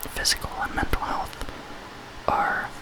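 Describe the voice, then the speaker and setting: Whispering, a man speaks. Noticeable background noise is present. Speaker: ASMR artist. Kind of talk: ASMR role play, emotional support. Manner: whispered, soft-spoken.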